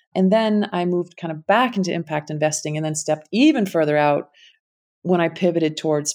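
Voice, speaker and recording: Speech in a Connecticut accent at a moderate pace, on a very clean recording with a silent background. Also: woman. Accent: Connecticut American. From US Connecticut. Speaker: impact investing founder. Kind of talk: casual interview conversation.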